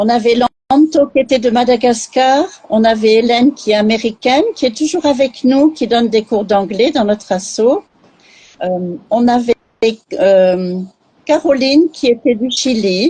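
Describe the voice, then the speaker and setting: A plain, everyday voice at a fairly slow pace, with lively intonation. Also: woman. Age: 60s. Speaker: charity president. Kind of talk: live interview. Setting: online live stream.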